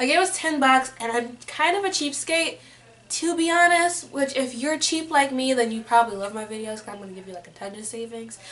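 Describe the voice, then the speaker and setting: Noticeable background noise sits behind a woman with an American accent and a high pitch. She talks at a fairly quick pace with lively intonation and big swings in loudness. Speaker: beauty vlogger. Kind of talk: casual product review vlog. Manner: rambling.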